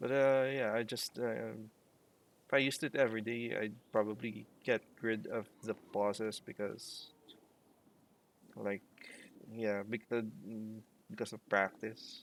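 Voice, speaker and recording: A man with a non-native accent speaks at a medium pitch and a fairly slow pace. His intonation is fairly even, broken by long, frequent pauses. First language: not English. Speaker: let's play streamer. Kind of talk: gameplay commentary. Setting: live stream. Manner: many pauses and fillers.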